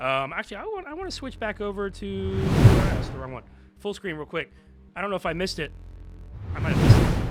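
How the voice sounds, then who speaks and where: A man speaks at a very fast pace, with long, frequent pauses and big swings in loudness. Music plays in the background. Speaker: esports caster. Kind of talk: live commentary. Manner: animated.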